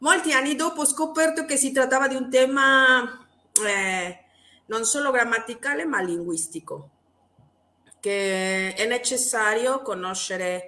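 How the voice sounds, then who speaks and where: A woman with a Spanish accent, fairly slow, her pitch swinging very widely. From Mexico. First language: Spanish (speaking Italian). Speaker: Italian teacher and linguistics doctoral student. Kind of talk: interview. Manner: halting.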